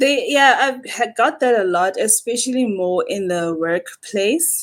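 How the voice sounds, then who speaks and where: A woman with an ordinary speaking voice talks at a fairly slow pace, with ordinary pitch variation. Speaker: podcast guest, administrator. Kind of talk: casual chat.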